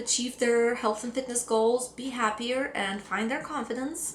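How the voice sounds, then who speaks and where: A woman with a Russian accent and a fairly high voice at a moderate pace, amid audible room echo and noticeable background noise. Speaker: fitness coach. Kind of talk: personal story vlog.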